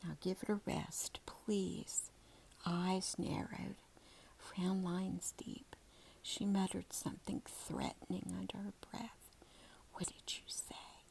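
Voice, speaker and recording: With long, frequent pauses, the whispered speech goes along at a very slow pace. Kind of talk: read story. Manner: soft-spoken.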